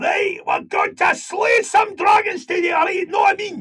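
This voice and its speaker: A man shouts in a put-on character voice with a Glaswegian accent, pitched extremely high. He keeps a moderate pace. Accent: Glaswegian Scottish. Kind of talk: interview answer.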